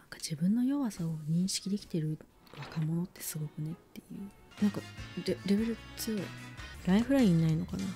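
Over music in the background, a soft-spoken woman with a fairly low pitch talks at a fairly quick pace with ordinary pitch variation. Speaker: VTuber. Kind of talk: casual game stream commentary. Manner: very quiet, soft-spoken.

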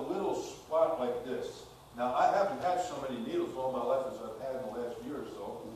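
Strong room echo and light background noise surround a man talking at a fairly quick pace. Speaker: pastor. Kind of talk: sermon. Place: church.

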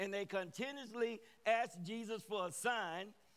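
The speaker is a man with a high voice. His tone is bright and sharp. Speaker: guest preacher. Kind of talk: sermon. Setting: church with congregation. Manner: animated.

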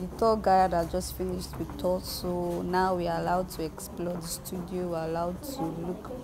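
A woman speaks with hardly any pauses. Background noise is noticeable. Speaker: vlogger. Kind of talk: casual vlog chat. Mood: excited, amazed. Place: hall. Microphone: phone near.

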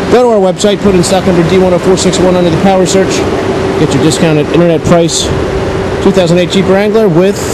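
Someone talks at a very fast pace against loud background noise. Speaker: car salesperson. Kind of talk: sales walkaround commentary. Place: street. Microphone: phone near.

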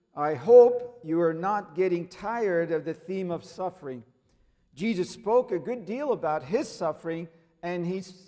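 Text is being read aloud in a natural voice.

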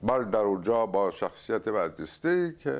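A man speaks with very wide pitch swings. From Iran, Isfahan; Iran. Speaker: writer and poet; poet. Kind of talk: interview. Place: home room. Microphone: lapel.

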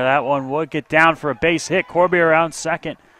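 Recorded with a dry, close sound and no echo, a man speaks at a moderate pace in a fairly high pitch, his tone bright, sharp and animated, with ordinary pitch variation. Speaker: baseball radio announcer. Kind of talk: live play-by-play baseball commentary. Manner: animated, rising excitement on home runs.

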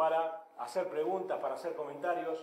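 A fairly high-pitched male voice with audible room echo. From Argentina. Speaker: seminar organizer; event host introducing a speaker. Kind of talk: event introduction. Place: hall. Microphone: handheld.

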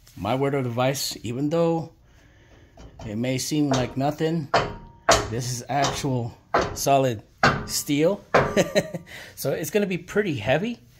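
The voice moves at a fairly slow pace over noticeable background noise. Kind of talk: tutorial. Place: garage. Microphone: phone near.

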